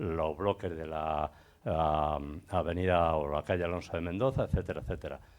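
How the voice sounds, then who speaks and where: This man talks at a moderate pace. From Getafe, Madrid, Spain. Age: 70s. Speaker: audience member, local association member. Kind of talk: audience comment. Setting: public event with audience.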